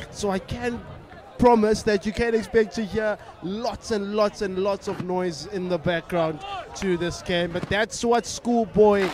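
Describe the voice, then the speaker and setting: Set against noticeable background noise, a man speaks fairly slowly in a high pitch with ordinary pitch variation and a dry sound with no echo. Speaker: sports commentator. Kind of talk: commentary.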